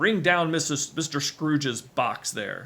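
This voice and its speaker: A man in a put-on character voice booms in a raised, projected, fairly high-pitched voice at a fairly slow pace with ordinary pitch variation. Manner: harsh, commanding.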